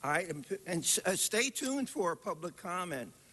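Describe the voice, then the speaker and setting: A man talks in a raised, projected voice at a fairly slow pace. Noticeable background noise runs behind him. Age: 70s. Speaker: public commenter. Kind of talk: public comment at council meeting. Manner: animated.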